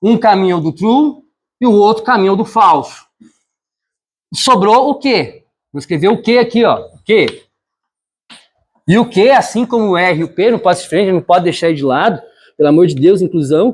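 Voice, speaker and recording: Fairly quick pace broken by long, frequent pauses. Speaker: teacher. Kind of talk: lecture. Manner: fast.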